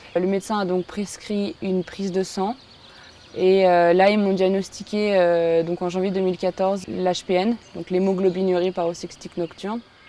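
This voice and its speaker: A woman at medium pitch with monotone, flat intonation, moderate pace, and noticeable background noise. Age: 20s. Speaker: patient. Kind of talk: testimony. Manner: hesitant, many fillers.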